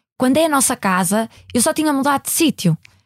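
A somewhat breathy woman speaks with lively intonation in a very clean, dry, close recording with no echo and a silent background. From Portugal, Maia (Porto area). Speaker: company CEO. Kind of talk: interview. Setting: studio.

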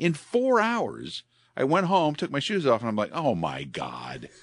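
A man talks at a fairly slow pace with very wide pitch swings. The background is quiet. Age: 60s. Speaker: radio host. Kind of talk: casual chat.

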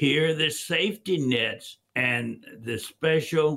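A man speaks at a fairly high pitch. His voice has vocal fry. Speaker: financial firm founder. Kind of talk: radio talk show.

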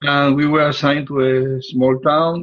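Speaking at a fairly slow pace, a man with a Puerto Rican accent uses a fairly high pitch. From Puerto Rico. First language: Spanish. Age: 70s. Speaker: relationship coach. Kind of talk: interview, conversational.

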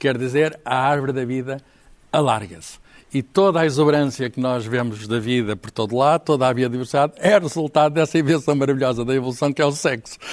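A man with a plain, everyday voice speaks fairly quickly at medium pitch with ordinary pitch variation. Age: 60s. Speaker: writer. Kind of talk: panel discussion.

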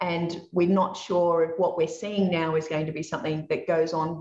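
A woman talks at a moderate pace in an Australian accent. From Australia (Dubbo, regional New South Wales). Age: 50s. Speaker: property investment educator. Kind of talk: interview.

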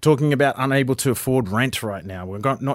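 A man speaks very fast with an Australian accent. The recording is very clean, with a silent background. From Far North Queensland, Australia. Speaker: political candidate. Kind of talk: interview.

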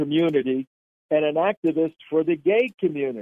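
Speaking at a moderate pace with ordinary pitch variation, a man with an American accent has a fairly high pitch and a normal speaking voice. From New Jersey. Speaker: national security commentator. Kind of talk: political talk radio interview.

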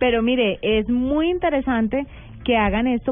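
The speaker has a Colombian accent and a moderate pace. Pitch varies in an ordinary way. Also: woman. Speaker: radio host. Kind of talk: casual chat. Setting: studio.

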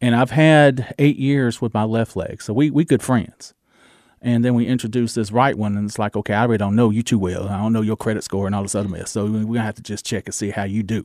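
A man with a Southern US accent, a medium pitch, fairly even intonation and a very fast pace, in a dry, close sound with no echo. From US South, Georgia. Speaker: radio DJ and actor. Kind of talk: interview chat. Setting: studio.

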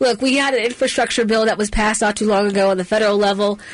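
With an American accent, a woman talks at a fairly high pitch with ordinary pitch variation over noticeable background noise. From Maryland, Middle River. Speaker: talk radio host. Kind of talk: talk radio.

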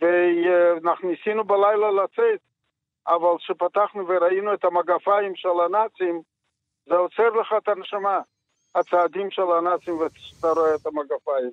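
A man's high-pitched voice at a fairly slow pace, with fairly even intonation. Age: 80s+. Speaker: Holocaust survivor and high school teacher. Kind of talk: testimony. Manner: halting.

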